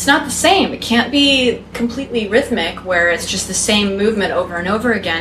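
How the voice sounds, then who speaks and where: Speaking with an American accent, a woman uses a medium pitch and lively intonation at a moderate pace, with audible room echo and noticeable background noise. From Texas. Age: 20s. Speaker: feminine embodiment and polarity teacher. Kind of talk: casual interview chat.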